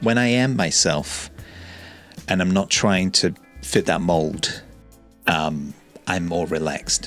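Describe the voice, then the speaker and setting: A man's very deep, low voice at a very slow pace, with long, frequent pauses, very even loudness, and music in the background. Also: ordinary pitch variation. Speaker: YouTuber. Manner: calm, not loud.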